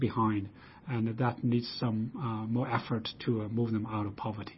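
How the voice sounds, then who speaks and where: Speaking with a Chinese accent, a man sounds somewhat breathy. He keeps a moderate pace. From China. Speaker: research institute director, economist. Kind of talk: interview. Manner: hesitant, many fillers.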